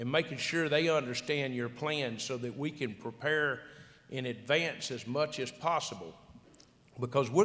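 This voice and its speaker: Speaking at a medium pitch with a Louisiana accent, a man is heard with audible room echo. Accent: Louisiana Southern. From South Louisiana. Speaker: agricultural retail executive, conference panelist. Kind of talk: conference panel discussion. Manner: repetitive, halting restarts.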